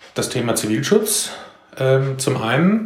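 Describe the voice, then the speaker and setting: Lively intonation carries a very slow delivery through audible room echo and noticeable background noise. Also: man. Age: 40s. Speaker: civil protection volunteer leader. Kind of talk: interview.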